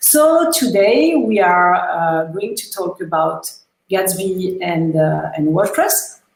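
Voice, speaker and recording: Woman speaking at a very slow pace with very wide pitch swings and audible room echo. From France. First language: French. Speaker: web developer. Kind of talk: technical talk.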